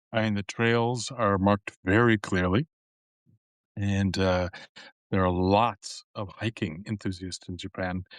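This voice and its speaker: In a plain, everyday voice, a man with an American accent speaks fairly slowly at a fairly low pitch with fairly even intonation, the sound dry and close with no echo over a quiet background. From United States. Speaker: podcast host. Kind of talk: interview podcast. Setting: live stream.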